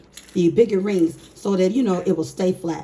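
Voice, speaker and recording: A woman talks at a moderate pace and medium pitch, with noticeable background noise. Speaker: budgeting YouTuber. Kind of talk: casual talk to camera. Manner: upbeat.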